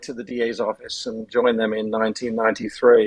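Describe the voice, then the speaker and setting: There is noticeable background noise. Over it, a man speaks with lively intonation. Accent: English. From England. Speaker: retired prosecutor, elder abuse lawyer. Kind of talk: podcast interview.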